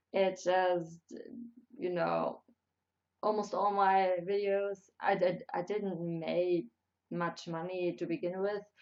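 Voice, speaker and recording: A woman with a German accent speaks at a very slow pace with long, frequent pauses. Her pitch is medium and her intonation fairly even. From Germany. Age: 20s. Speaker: YouTuber. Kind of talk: live stream chat. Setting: live stream. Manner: halting.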